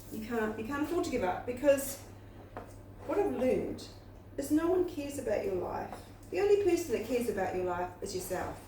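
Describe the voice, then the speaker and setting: The speaker goes at a fairly quick pace, with very wide pitch swings and long, frequent pauses. Noticeable background noise and audible room echo fill the recording. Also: woman, high pitch for a woman. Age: 60s. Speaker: YouTuber, spiritual coach. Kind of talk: casual motivational talk to camera. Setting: home kitchen while baking. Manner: conversational, repetitive.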